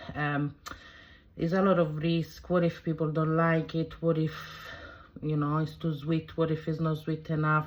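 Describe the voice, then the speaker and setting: Speech comes at a moderate pace with an Italian accent and a monotone, flat intonation. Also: woman. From southern Italy. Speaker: cooking vlogger. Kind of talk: casual vlog introduction. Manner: halting, many fillers.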